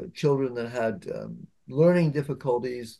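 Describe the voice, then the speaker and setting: Moving at a moderate pace, a man speaks with a medium pitch and a dark, mellow tone. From Canada. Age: 70s. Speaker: poet. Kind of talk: interview. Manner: halting.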